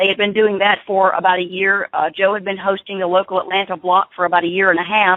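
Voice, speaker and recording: The speaker talks at a very fast pace in an American accent, with monotone, flat intonation and hardly any pauses. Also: woman, medium pitch for a woman. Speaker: former wrestling TV host. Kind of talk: casual chat. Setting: phone call.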